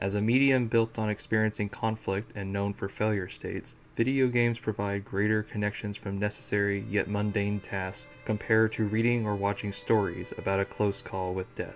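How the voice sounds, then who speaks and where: A man's fairly low, monotone voice with flat intonation, hardly any pauses, and music in the background. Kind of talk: video game critique narration. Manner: clear enunciation, not fast.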